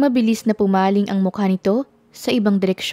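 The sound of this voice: What you hear is an unforced reading voice.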